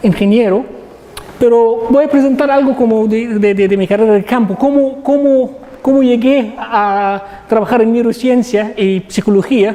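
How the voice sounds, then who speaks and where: Amid noticeable background noise, a man with a non-native accent speaks high in pitch at a fairly slow pace, his intonation fairly even. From Egypt. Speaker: professor. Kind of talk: lecture. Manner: halting, many repetitions.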